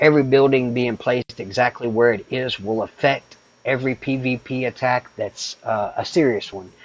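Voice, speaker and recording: With fairly even intonation and medium pitch, a man speaks at a moderate pace in a dry, close sound with no echo, with noticeable background noise behind him. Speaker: gaming streamer. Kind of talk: live stream tutorial. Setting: live stream. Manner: casual, hesitant.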